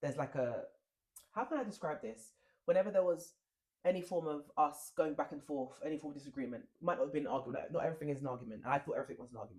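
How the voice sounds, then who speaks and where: A man's fairly high-pitched voice at a very fast pace, with lively intonation. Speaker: podcast co-host. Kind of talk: casual chat. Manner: loud.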